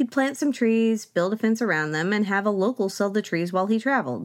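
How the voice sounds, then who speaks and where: A woman with an American accent talks fairly quickly at a medium pitch with lively intonation. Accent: slight Southern US, mostly hidden. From US South, Oklahoma. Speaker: podcast host. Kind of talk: scripted-style narration with commentary. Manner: humorous, wry.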